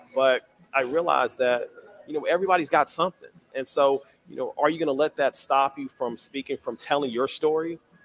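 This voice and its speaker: Over music in the background, a man talks at a fairly quick pace in an American accent. His fairly high pitch keeps fairly even intonation, with a dry, close sound and no echo. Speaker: writer and public speaker. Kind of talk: interview.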